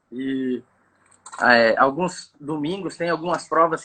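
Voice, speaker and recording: Fairly high in pitch, this man speaks with fairly even intonation. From Brazil, Campo Grande, Mato Grosso do Sul. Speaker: bass fishing guide. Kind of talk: casual chat. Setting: live video call. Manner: halting, many fillers.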